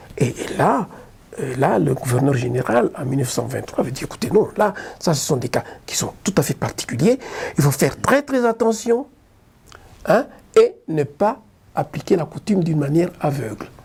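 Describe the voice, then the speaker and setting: With long, frequent pauses, a man talks at a moderate pace in a fairly high, somewhat breathy voice whose pitch swings very widely. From Lubumbashi, Democratic Republic of the Congo. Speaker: lawyer. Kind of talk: interview answer.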